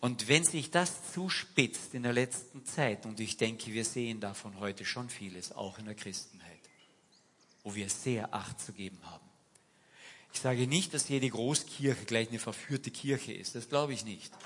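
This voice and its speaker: Animated in tone, a man speaks at a medium pitch with big swings in loudness. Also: ordinary pitch variation, moderate pace. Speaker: preacher. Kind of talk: sermon in church, casual and direct, mixing anecdotes with scripture. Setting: church. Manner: animated, conversational, uses rhetorical questions and urging imperatives.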